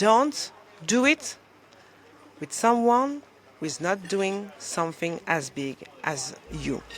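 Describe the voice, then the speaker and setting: The speaker has a French accent and talks at a very slow pace. Long pauses come often. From France. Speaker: motivational coach. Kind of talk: motivational talk to camera. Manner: animated; halting.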